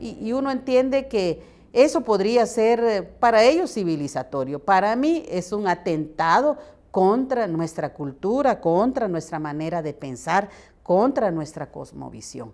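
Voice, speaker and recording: A woman talks fairly slowly at a medium pitch, with very wide pitch swings. The recording is very clean, with a silent background. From San Juan Comalapa, Guatemala. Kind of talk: interview answer.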